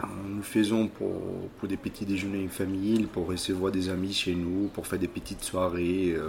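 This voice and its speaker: A man at a fairly low pitch with fairly even intonation and a fairly slow pace, amid noticeable background noise. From Brazil, Belo Horizonte (Minas Gerais). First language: Portuguese (speaking French). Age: 30s. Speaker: restaurant manager and former lawyer. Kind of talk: interview. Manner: halting.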